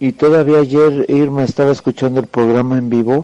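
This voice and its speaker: A man's dark, mellow tone at a fairly slow pace, with fairly even intonation and a dry, close sound with no echo. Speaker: caller. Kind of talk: update on a relative's health.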